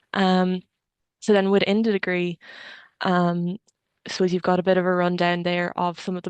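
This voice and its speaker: A woman talks fairly quickly in an Irish accent, her medium pitch held in monotone, flat intonation. The sound is dry and close with no echo, over a quiet background. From Ireland, Kilkenny. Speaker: engineering student. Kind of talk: webinar talk.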